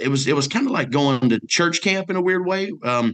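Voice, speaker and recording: Male voice with lively intonation against a quiet background. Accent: Mississippi. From US South (north Mississippi). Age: 40s. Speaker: businessman, college alumnus. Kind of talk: radio interview. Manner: animated; halting.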